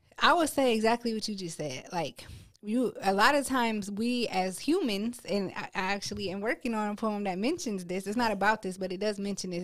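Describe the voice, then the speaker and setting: Speaking at a moderate pace, a woman with an American accent has a medium pitch and a plain, everyday voice. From Akron, Ohio. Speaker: poet and dental hygienist. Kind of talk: casual interview chat.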